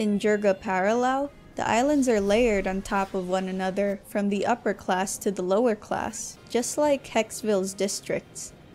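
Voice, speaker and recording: A woman talks at a moderate pace and medium pitch, with hardly any pauses. Her pitch variation is ordinary, with music in the background. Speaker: video game reviewer. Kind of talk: game review voice-over.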